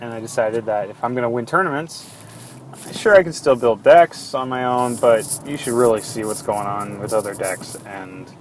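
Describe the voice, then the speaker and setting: Over noticeable background noise, a man speaks at a moderate pace with lively intonation and a medium pitch. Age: 20s. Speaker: card game podcast host. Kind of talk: solo monologue podcast.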